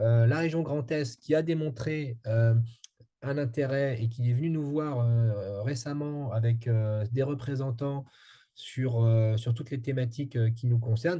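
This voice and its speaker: A man's somewhat breathy voice, dark and mellow in tone at a medium pitch, with fairly even intonation at a fairly slow pace. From France. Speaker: strategic advisor on energy transition. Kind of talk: interview. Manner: halting, many fillers.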